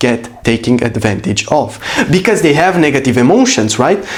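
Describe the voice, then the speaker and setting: A man talks in an animated tone. His pitch swings very widely. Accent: Romanian. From Romania. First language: Romanian. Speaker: business coach. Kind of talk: motivational talk.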